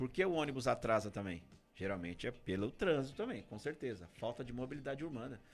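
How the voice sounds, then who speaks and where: With music in the background, a man speaks in a São Paulo accent at a very fast pace. His intonation is lively. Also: medium pitch for a man. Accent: Brazilian Portuguese, São Paulo. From Brazil, Guarulhos (São Paulo). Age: 40s. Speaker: political candidate. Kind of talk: radio interview.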